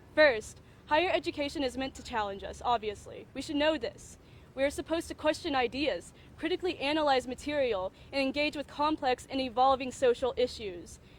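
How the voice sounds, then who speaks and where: A woman speaks at a fairly quick pace with a high pitch. Her intonation is lively. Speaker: undergraduate student speaker. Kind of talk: prepared statement at press conference. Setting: press conference. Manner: loud; halting, self-correcting.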